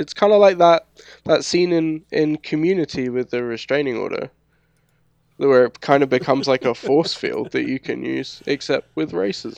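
With a London accent, a man speaks over a quiet background, the sound dry and close with no echo. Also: moderate pace. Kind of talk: casual chat.

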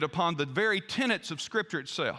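In a Southern US accent, a man uses a raised, projected voice with a bright, sharp tone and lively intonation, recorded very cleanly against a silent background. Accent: Southern American. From US South. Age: 60s. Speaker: pastor. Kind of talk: sermon.

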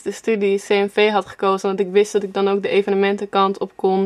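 A woman's fairly high voice at a fairly quick pace, an ordinary speaking voice. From Netherlands, Apeldoorn. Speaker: singer-songwriter. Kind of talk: interview.

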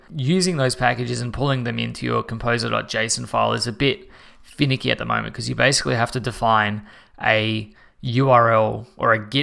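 On a very clean recording with a silent background, a man with an Australian accent speaks at a moderate pace. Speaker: podcast host, web developer. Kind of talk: casual chat.

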